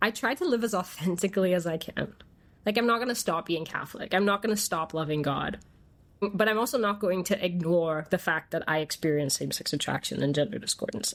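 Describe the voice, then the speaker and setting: Fairly quick speech with ordinary pitch variation, in a very clean recording against a silent background. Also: woman. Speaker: interviewee sharing faith testimony. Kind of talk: testimony. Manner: halting.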